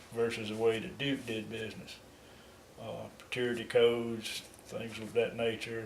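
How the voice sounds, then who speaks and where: Noticeable background noise is heard as a man with a Southern US accent speaks fairly slowly. His intonation is monotone and flat. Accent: Southern American. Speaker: retired water utility worker. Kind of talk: interview answer.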